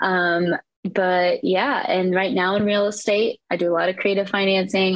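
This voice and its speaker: A woman with an American accent in a normal speaking voice, medium pitch, fairly even intonation and moderate pace. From Eastern Iowa, US Midwest. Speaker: real estate investor. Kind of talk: casual interview.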